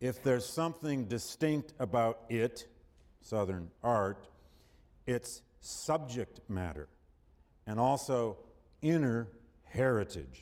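In a very clean recording with a silent background, a man at medium pitch uses lively intonation, speaking at a very slow pace with long, frequent pauses. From Michigan, US Midwest. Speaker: history professor. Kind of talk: lecture.

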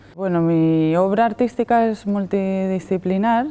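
Dark, mellow tone from a woman, medium in pitch. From Madrid, Spain. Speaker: artist. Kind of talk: interview answers. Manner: halting, many fillers and repetitions.

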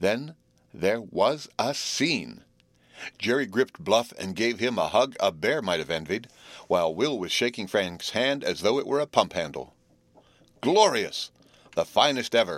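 A man's medium-pitched voice with vocal fry, an animated, playful tone and very wide pitch swings, at a fairly slow pace with long, frequent pauses, on a very clean recording with a silent background. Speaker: audiobook narrator. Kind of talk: literary audiobook reading, narrated with character voices. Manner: animated, expressive storyteller, playful boyish dialogue.

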